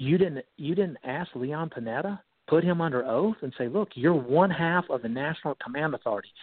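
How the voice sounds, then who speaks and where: A man talks at a moderate pace with lively intonation. He has an ordinary speaking voice. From North Carolina. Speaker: retired naval officer. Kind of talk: radio interview.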